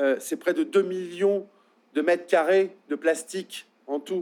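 This man has a high-pitched voice. He speaks at a very slow pace. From Marais Poitevin, western France. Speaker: anti-reservoir activist spokesperson. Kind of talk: public talk. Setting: public evening event. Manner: halting.

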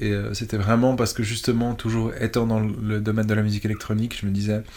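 Monotone, flat intonation at a fairly quick pace, with audible room echo. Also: man. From Switzerland. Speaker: electronic musician. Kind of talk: interview. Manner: halting.

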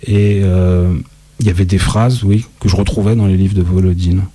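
A man speaks at a moderate pace. His pitch is fairly low and his intonation fairly even. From Lyon, France. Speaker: poet. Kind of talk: interview. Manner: hesitant.

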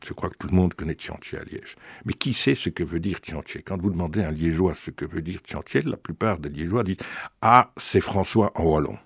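A man with a very deep, low pitch speaks at a fairly quick pace, his loudness swinging widely and his pitch varying in an ordinary way. The recording is very clean with a silent background and a dry, close sound with no echo. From Belgium. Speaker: author. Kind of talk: interview. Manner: halting, frequent repetitions.

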